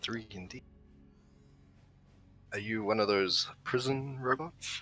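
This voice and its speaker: A man does a put-on character voice at a medium pitch. He speaks at a fairly slow pace with faint music in the background. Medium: actual play.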